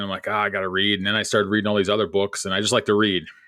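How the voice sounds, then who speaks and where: This is a man speaking. His pitch is fairly low. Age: 40s. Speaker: podcast host, trapper. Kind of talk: casual interview chat. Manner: halting, many fillers and repeats.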